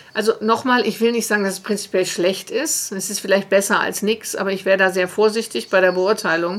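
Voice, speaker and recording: With noticeable background noise behind her, a woman speaks at a fairly quick pace with fairly even intonation and hardly any pauses. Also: medium pitch for a woman. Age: 50s. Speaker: organisational development consultant. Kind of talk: interview.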